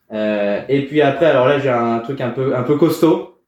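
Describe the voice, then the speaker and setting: A man speaks at a fairly slow pace in a medium pitch, with audible room echo around his voice. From France, Val d'Oise (Paris suburbs). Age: 30s. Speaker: startup program manager. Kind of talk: casual interview. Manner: halting, many repetitions and fillers.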